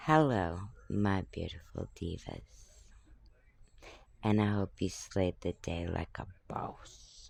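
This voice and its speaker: A man is whispering at a very slow pace. He leaves long, frequent pauses. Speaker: talk show host. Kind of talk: solo talk show monologue. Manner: casual, conversational.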